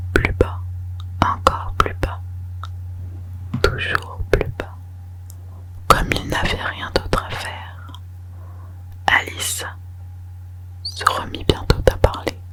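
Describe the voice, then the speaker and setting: Whispering very slowly over noticeable background noise, a woman leaves long, frequent pauses, and her loudness swings widely. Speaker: ASMR creator. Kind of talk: whispered audiobook reading for sleep (ASMR). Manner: whispered, soft, slow.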